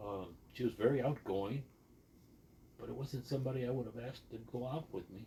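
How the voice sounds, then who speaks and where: This man's medium-pitched voice has a dark, mellow tone, is somewhat breathy, and shows ordinary pitch variation. He moves at a fairly quick pace, with big swings in loudness and long, frequent pauses. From Texas border region, later Sandusky, Ohio. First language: Spanish. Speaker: podcast guest sharing life story. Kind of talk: casual interview.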